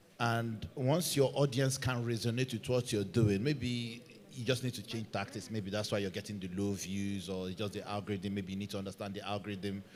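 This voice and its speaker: A man talks with a Nigerian accent and a fairly low pitch. He leaves hardly any pauses. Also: ordinary pitch variation. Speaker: football content creator, panelist. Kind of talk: panel discussion.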